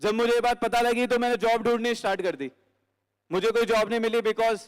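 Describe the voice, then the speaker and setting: A man with a high-pitched voice. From Delhi, India. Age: 20s. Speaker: network marketing distributor. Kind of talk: testimony speech. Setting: stage with audience. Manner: emotional, emphatic.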